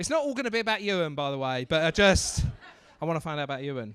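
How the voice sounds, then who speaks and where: A man speaks in an Estuary English accent, his tone animated and his intonation lively. The recording is very clean, with a silent background. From England, Basildon, Essex. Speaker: stand-up comedian, MC. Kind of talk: stand-up crowd work. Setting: comedy club stage with audience.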